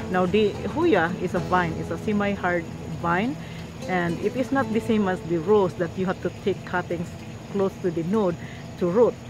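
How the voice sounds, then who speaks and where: Music plays in the background while a woman talks at a moderate pace with a medium pitch and ordinary pitch variation. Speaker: gardening youtuber. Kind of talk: tutorial. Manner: halting.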